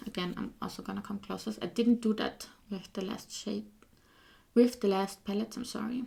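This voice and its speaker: With a non-native accent, a woman talks at a medium pitch and with fairly even intonation. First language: not English. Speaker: beauty youtuber. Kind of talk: casual product showcase. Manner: hesitant, with fillers.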